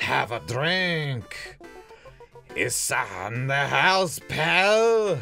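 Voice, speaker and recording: A put-on character voice at a middle pitch speaks very slowly while clear music plays in the background. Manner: gruff, welcoming.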